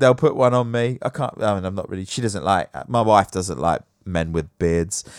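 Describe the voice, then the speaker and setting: A man with an English accent speaks in an animated tone at a moderate pace with hardly any pauses, in a very clean recording with a silent background. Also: dry, close sound with no echo. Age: 30s. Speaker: podcast host. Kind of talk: casual chat.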